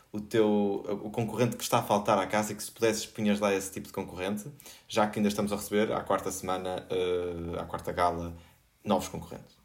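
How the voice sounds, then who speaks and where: A fairly low-pitched male voice at a fairly quick pace, with fairly even intonation. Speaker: podcast host. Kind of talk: panel discussion. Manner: halting.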